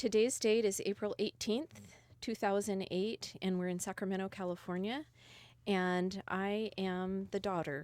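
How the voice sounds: A woman speaks at a fairly slow pace in a medium pitch, with a slightly mellow tone and fairly even intonation, on a very clean recording with a silent background.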